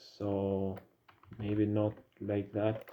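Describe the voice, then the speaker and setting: Flat intonation and a monotone delivery in a man's voice pitched fairly low. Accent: non-native. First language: not English. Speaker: 3D modeling hobbyist. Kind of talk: tutorial. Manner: casual, hesitant with fillers.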